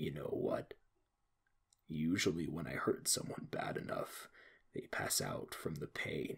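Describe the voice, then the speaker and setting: A man whispers at a fairly slow pace. His speech is broken by long, frequent pauses. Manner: calm, sinister, mocking.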